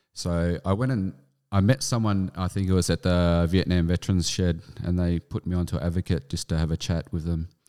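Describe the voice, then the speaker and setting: In an Australian accent, a man with a very deep, low pitch and dark, mellow tone speaks at a moderate pace with fairly even intonation, in a dry, close sound with no echo on a very clean recording with a silent background. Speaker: army veteran. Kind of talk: interview.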